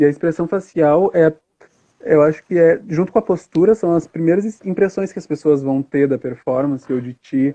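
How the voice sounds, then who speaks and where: This man's voice is fairly high in pitch with a dark, mellow tone and ordinary pitch variation. He goes at a moderate pace, and the sound is dry and close with no echo. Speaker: drag performer. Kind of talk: interview on a live stream. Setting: Instagram live stream. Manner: hesitant, many fillers.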